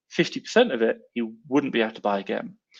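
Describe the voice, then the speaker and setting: A man with an English accent speaks at a medium pitch and a very fast pace, his pitch swinging very widely. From England. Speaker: online seller and live-stream host. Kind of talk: live stream chat answering comments. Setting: live stream. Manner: animated.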